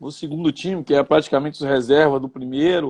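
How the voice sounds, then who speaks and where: A plain, everyday voice from a man, fairly high in pitch, with fairly even intonation. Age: 50s. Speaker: retired footballer and coach. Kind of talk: interview.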